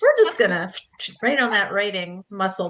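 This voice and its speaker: With ordinary pitch variation and a medium pitch, a woman speaks at a moderate pace in an unremarkable speaking voice. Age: 60s. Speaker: book coach and author. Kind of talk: casual interview chat. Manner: warm, conversational with fillers.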